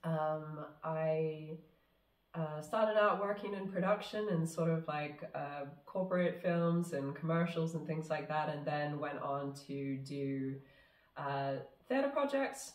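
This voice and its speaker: A woman's very deep, low voice at a very slow pace, ordinary pitch variation, audible room echo and noticeable background noise. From New Zealand. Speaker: film director. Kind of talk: casual interview chat. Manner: halting, many fillers.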